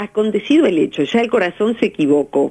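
In an ordinary speaking voice, a woman talks at a moderate pace with lively intonation over a quiet background. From Argentina. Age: 50s. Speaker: psychologist; radio guest. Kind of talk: radio interview. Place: studio.

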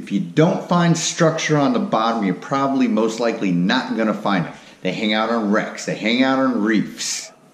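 Lively intonation from a man at a moderate pace, with audible room echo. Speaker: fishing channel host. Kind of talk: tutorial. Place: garage. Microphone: camera far.

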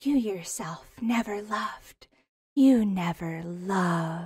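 The pace here is very slow. A put-on character voice does the talking. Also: female-sounding voice, medium pitch for a woman. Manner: coquettish, mocking, teasing.

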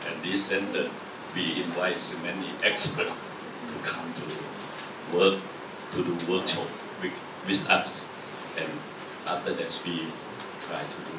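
A man speaks at a fairly slow pace over loud background noise. His pauses are long and frequent. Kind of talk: welcome talk. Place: classroom.

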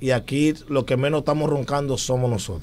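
The man talks at a fairly quick pace. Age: 30s. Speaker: musician; talk show guest. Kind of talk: casual chat. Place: studio. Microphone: studio mic.

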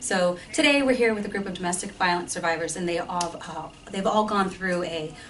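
An ordinary speaking voice comes through over light background noise. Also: woman. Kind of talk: interview answer. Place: empty room. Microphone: camera far.

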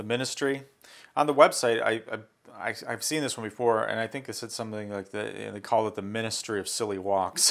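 A man talks fairly quickly in a normal speaking voice at a medium pitch with ordinary pitch variation. The recording is very clean, with a silent background. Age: 40s. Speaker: tech youtuber. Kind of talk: unboxing video. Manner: casual, with fillers.

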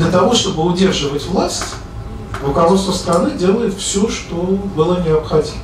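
With audible room echo and noticeable background noise, a man speaks at a moderate pace in a high pitch with ordinary pitch variation. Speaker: economist and discussion moderator. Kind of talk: moderated public discussion. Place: hall.

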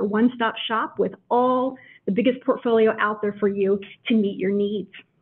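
The woman's speech moves at a moderate pace. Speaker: webinar host. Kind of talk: presentation introduction. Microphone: video call.

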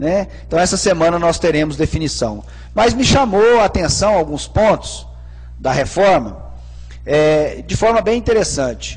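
A man at a fairly slow pace, his loudness very even. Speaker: city councillor. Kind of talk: council debate speech. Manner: formal. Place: hall. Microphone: podium.

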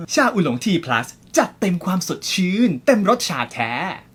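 Very wide swings mark this man's high-pitched speech. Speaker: commercial voice-over artist. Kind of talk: TV commercial read.

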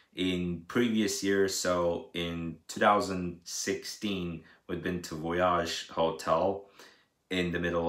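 Monotone, flat speech comes at a very slow pace with audible room echo over a quiet background. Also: man. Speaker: daily vlogger. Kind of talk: casual vlog chat. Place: home room. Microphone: phone near.

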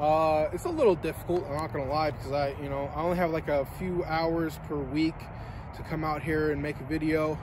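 Over noticeable background noise, a man talks at a fairly quick pace in a monotone, flat intonation. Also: dry sound with no echo. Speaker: vlogger. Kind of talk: casual vlog chat. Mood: earnest, reflective. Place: street.

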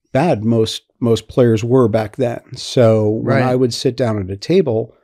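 A dark, mellow tone with ordinary pitch variation over a quiet background. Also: man. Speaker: podcast guest. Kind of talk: interview answer. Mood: relaxed, amused storytelling. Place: home room. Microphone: studio mic.

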